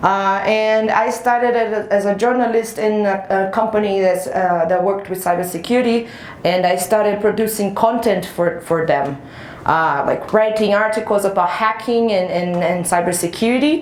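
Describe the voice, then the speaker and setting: A woman's medium pitch with ordinary pitch variation, very even loudness and a moderate pace, along with audible room echo and noticeable background noise. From Brazil. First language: Portuguese. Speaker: penetration tester. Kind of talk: conference talk.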